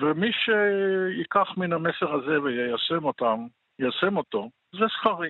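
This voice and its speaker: A man's high voice with lively intonation at a very slow pace. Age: 70s. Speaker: economist and poet, war veteran. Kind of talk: interview.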